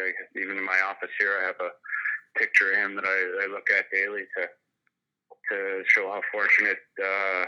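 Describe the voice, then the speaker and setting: A man's fairly low voice with a Canadian Prairies accent, at a moderate pace. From Saskatchewan, Canada. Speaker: retired pro hockey player. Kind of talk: casual interview.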